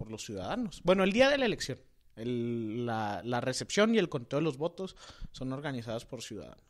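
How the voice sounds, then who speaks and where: A man's pitch swings very widely as he speaks at a moderate pace, on a very clean recording with a silent background. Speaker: political podcast co-host. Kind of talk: casual political discussion.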